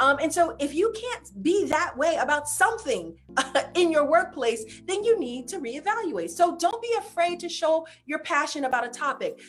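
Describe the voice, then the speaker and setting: Over music in the background, a woman speaks in a high, animated voice. Her pitch swings very widely. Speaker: career coach. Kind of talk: online presentation with slides. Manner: fast.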